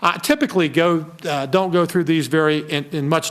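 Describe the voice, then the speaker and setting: Noticeable background noise runs behind a man's fairly high voice. He speaks at a fairly quick pace with ordinary pitch variation. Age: 60s. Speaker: state finance secretary. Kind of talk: formal presentation. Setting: committee meeting.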